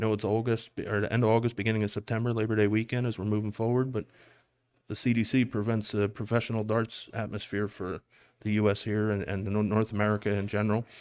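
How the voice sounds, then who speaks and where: A man with a Philadelphia accent talks at a very fast pace in a fairly low voice. His flat, monotone intonation sits on a very clean recording with a silent background. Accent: Philadelphia city. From Philadelphia, US. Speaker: darts commentator. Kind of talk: live sports commentary. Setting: live stream at a darts tournament.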